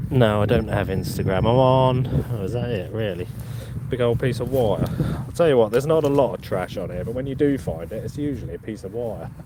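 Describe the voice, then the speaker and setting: Against noticeable background noise, a man of medium pitch speaks at a fairly quick pace with ordinary pitch variation. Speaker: metal detecting YouTuber. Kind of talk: live stream chat. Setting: outdoors in a field. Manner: casual, chatty.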